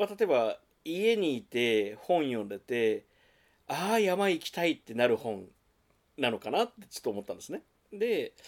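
Very wide pitch swings and big swings in loudness from a man's fairly high voice, at a moderate pace. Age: 40s. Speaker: bookstore owner and podcast co-host. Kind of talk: casual chat.

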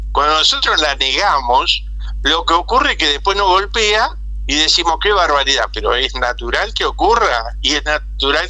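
A man speaks at a very even loudness. Noticeable background noise runs behind him. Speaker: agricultural specialist and broadcaster. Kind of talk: interview.

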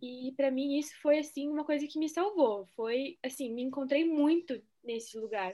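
This woman's pitch is high. Her tone is dark and mellow. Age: 20s. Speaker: geography student, former Waldorf student. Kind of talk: casual chat.

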